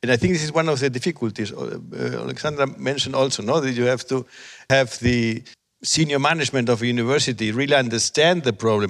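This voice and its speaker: A man talks at a very fast pace with vocal fry. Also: medium pitch for a man, ordinary pitch variation. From Spain. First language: Spanish. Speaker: professor of education technology. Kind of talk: panel discussion. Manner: halting.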